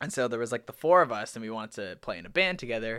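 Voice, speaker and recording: In a Canadian accent, a man speaks at a medium pitch with a bright, sharp tone, on a very clean recording with a silent background. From Canada. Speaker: musician. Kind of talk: casual chat.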